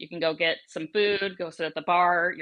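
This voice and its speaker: An American accent at a moderate pace. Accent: part Wisconsin, part Florida. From American Midwest and Florida. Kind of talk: upbeat promotional patter.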